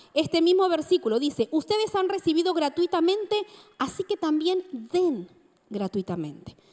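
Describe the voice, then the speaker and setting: A woman speaks at an extremely high pitch with lively intonation and a moderate pace. The sound is dry and close with no echo, though noticeable background noise is present. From Argentina, Mar del Plata (Buenos Aires province). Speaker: preacher. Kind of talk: sermon.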